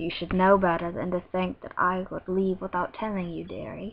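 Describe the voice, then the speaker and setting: Raspy and moderately paced, the put-on character voice keeps a fairly even intonation. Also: woman, medium pitch for a woman. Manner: amused, chortling.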